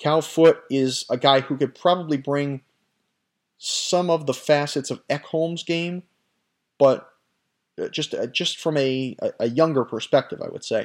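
A man speaks at a fairly slow pace in a fairly high pitch, his intonation fairly even. Long pauses come often, and the recording is very clean with a silent background. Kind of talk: sports news commentary, scripted-sounding solo podcast monologue. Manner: fluent, conversational and opinionated, with some self-corrections.

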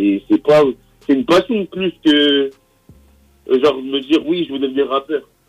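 Music plays in the background as a man with a fairly high pitch speaks at a fairly slow pace, with ordinary pitch variation and long, frequent pauses. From Paris suburbs, Val-de-Marne (Champigny) and Melun. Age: young. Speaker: rapper. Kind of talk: interview.

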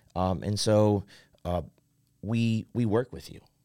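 Fairly low pitch from a man with a Midwestern American accent and ordinary pitch variation, in a very clean recording with a silent background. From central Ohio, rural. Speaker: worship pastor. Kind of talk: casual interview. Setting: studio.

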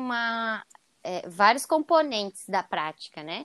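A woman talks at a fairly slow pace in a fairly high pitch, in a very clean recording with a silent background and a dry, close sound with no echo. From Santa Catarina, Brazil (Joinville). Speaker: yoga teacher. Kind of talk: casual interview.

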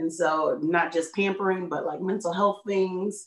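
Against a quiet background, a woman with a normal speaking voice and fairly low pitch talks at a moderate pace with fairly even intonation. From Chicago area, US. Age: 30s. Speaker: content creator. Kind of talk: casual interview.

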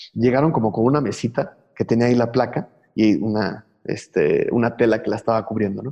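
A man talks at a fairly quick pace with a dark, mellow tone. His pitch is medium, with ordinary variation. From Mexico City. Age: 40s. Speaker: graphic artist and muralist. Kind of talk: casual interview.

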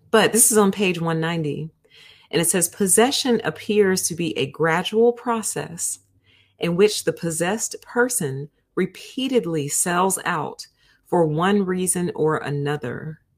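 A woman talks fairly slowly in a fairly low, somewhat breathy voice with lively intonation. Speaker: book review YouTube host. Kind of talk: casual book review show. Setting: live stream with train noise outside. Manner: animated, excitable.

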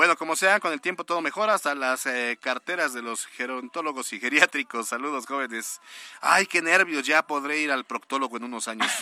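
Recorded dry and close with no echo, a man speaks fairly quickly in a plain, everyday voice that sits fairly high in pitch. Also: ordinary pitch variation. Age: 30s. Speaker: radio news host. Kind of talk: news radio interview. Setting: studio.

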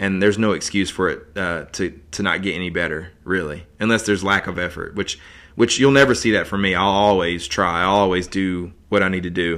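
In an American accent, a man with a very deep, low pitch talks at a fairly quick pace with fairly even intonation and hardly any pauses, on a very clean recording with a silent background. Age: 30s. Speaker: artist. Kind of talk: personal monologue. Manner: halting, many fillers and repeats.

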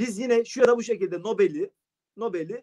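Extremely high in pitch, a man's voice moves at a fairly quick pace, sounding dry and close with no echo. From Turkey, Sakarya (Geyve). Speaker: poet and literature teacher. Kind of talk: casual interview. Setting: video call from home.

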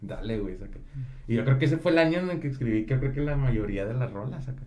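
Amid audible room echo, a man with a medium pitch and a dark, mellow tone speaks somewhat breathily at a very fast pace, with ordinary pitch variation. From Monterrey, Mexico. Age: 20s. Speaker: rapper. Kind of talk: casual chat.

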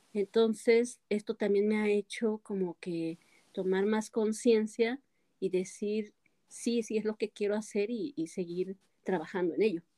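Dry and close with no echo, a woman's voice has a dark, mellow tone and fairly high pitch, with fairly even intonation at a fairly slow pace. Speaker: motivational speaker. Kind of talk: interview. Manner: occasionally tongue-tied.

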